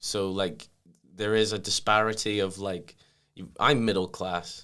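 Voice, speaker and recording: With an American accent, a man talks at a moderate pace in a fairly low voice. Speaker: comedian. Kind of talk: casual chat. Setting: podcast recording.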